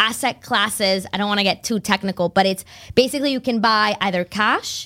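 A woman speaks in a bubbly tone at a medium pitch, with ordinary pitch variation and a fairly quick pace. The recording is very clean, with a silent background. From Massachusetts, Boston area (from age nine; born in Spain). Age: 30s. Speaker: financial advisor. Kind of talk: casual interview.

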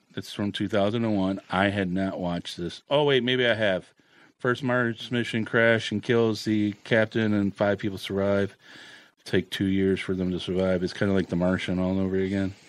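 Speaking at a moderate pace, a man with a plain, everyday voice keeps a fairly low pitch and fairly even intonation. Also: quiet background. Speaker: podcast host. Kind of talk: casual chat.

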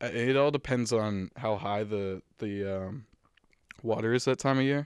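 An ordinary speaking voice with an American accent moves at a fairly slow pace on a very clean recording with a silent background. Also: man. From Massachusetts North Shore. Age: 20s. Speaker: college student. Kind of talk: casual chat.

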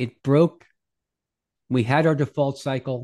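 The speaker has an American accent and a moderate pace, with ordinary pitch variation. The sound is dry and close with no echo, over a quiet background. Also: man. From New York area. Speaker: head of research at crypto investment firm. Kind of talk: interview.

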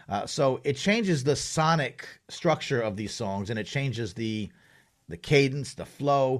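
In a New York accent, a man with a medium pitch speaks at a fairly slow pace with lively intonation, on a very clean recording with a silent background. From Long Island, New York. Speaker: journalist and hip-hop advocate. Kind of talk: interview conversation. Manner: halting, many fillers.

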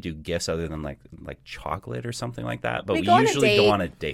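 At a fairly quick pace, a man talks with vocal fry. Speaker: podcast co-host. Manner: monotone.

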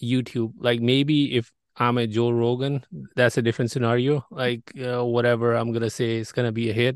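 Against a quiet background and in a dry, close sound with no echo, a man with a non-native accent speaks at a moderate pace and medium pitch in a monotone, flat intonation. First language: not English. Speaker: podcast host. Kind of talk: interview.

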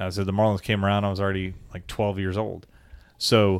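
In a normal speaking voice, a man talks at a fairly quick pace with a fairly low pitch, on a very clean recording with a silent background. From South Florida. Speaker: sports podcast co-host. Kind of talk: casual chat.

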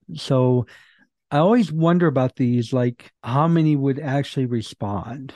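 Against a quiet background, a man speaks at a fairly slow pace in a fairly high voice with a dark, mellow tone, ordinary pitch variation and very even loudness, the sound dry and close with no echo. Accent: American. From Michigan and North Carolina, US. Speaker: author and podcast host. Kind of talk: casual interview chat.

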